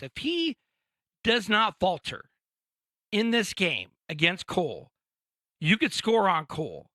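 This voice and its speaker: In a very clean, dry and close recording with a silent background and no echo, a man uses a raised, projected voice with a bright, sharp tone, very wide pitch swings and a fairly slow pace. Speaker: sports podcast co-host. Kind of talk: casual sports chat. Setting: podcast studio.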